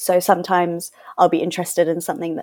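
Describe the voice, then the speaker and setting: A woman speaks in a London accent. Her pitch sits in the medium range. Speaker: charity worker and fashion content creator. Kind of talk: panel podcast interview.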